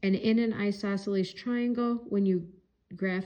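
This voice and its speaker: A woman talks at a fairly slow pace. Her medium-pitched voice has a dark, mellow tone. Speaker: math teacher. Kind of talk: tutorial. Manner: casual.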